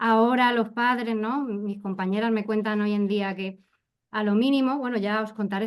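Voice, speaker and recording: A normal speaking voice moves at a fairly quick pace. The background is quiet. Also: woman. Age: 40s. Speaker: educator. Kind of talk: panel discussion.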